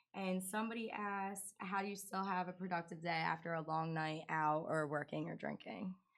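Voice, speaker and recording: At a fairly quick pace, a woman speaks with fairly even intonation and hardly any pauses. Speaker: co-host, club worker. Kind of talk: casual chat.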